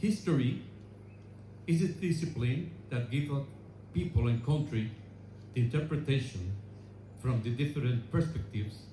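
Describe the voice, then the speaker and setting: A man with a dark, mellow tone speaks at a moderate pace, somewhat breathy. Long, frequent pauses fall between his words, with audible room echo. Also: medium pitch for a man, lively intonation. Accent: Spanish. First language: Spanish. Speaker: relative of honored aviator, ceremony speaker. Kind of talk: memorial speech. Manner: halting; formal.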